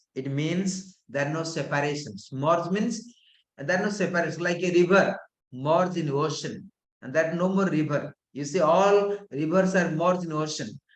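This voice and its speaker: Amid audible room echo, a man with a high pitch talks at a moderate pace with ordinary pitch variation. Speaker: yoga and tantra teacher. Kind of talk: lecture. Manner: calm.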